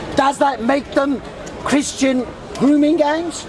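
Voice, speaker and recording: A man with a London accent speaks fairly slowly at an extremely high pitch, with noticeable background noise and audible room echo. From South London, England. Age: 60s. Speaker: street debater. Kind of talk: heated debate.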